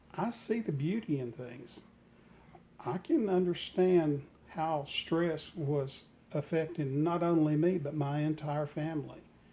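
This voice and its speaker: A man talks in a fairly high voice at a fairly slow pace, with long, frequent pauses. Noticeable background noise runs underneath. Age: 60s. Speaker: retired home gardener, vlogger. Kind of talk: reflective vlog talk. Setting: sunroom at home.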